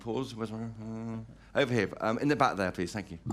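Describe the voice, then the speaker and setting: A man talks at a fairly quick pace in a medium pitch. Audible room echo surrounds his voice. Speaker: political journalist and podcast host. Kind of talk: live interview. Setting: stage with audience.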